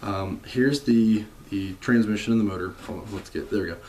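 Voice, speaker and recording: A quiet man's voice, fairly low in pitch, with fairly even intonation at a moderate pace, over noticeable background noise. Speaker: car enthusiast vlogger. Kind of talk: casual vlog talk. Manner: monotone and quiet; hesitant, many fillers.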